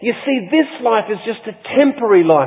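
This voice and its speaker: Over noticeable background noise, a man with an Australian accent talks in a high voice with lively intonation. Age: 60s. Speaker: pastor. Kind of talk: sermon. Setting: church.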